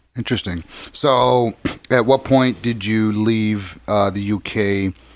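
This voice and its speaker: In a Chicago accent, a man speaks at a very slow pace with fairly even intonation. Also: fairly low pitch for a man. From Chicago South Side. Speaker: podcast host, lawyer. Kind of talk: interview conversation.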